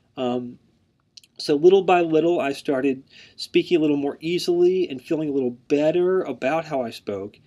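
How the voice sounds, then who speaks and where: With an American accent, a man talks at a moderate pace in a fairly high pitch. His tone is dark and mellow, with ordinary pitch variation. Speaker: university instructor, speech pathologist. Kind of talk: lecture. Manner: many fillers and repetitions.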